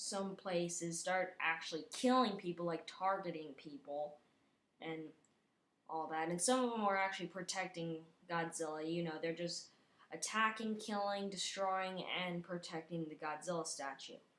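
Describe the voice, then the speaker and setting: Fairly low pitch from a woman, with ordinary pitch variation and a moderate pace. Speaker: video creator. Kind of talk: casual monologue. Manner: halting, many fillers.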